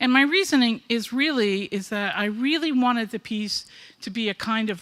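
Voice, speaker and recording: Here a woman with an American accent speaks at a fairly slow pace with lively intonation. The recording is very clean, with a silent background. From Brooklyn, New York. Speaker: artist. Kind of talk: artist talk to an audience.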